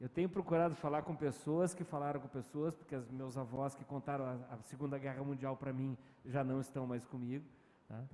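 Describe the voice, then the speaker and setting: A man's fairly high voice, dark and mellow in tone, with a southern Brazilian accent, at a moderate pace. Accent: gaúcho accent, recently regained. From Rio de Janeiro, Brazil. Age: 50s. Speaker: communication professor. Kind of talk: interview answer. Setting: virtual event.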